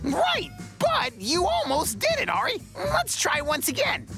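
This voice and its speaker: With clear music in the background, someone performs a cartoonish character voice at a fairly slow pace. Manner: energetic, enthusiastic.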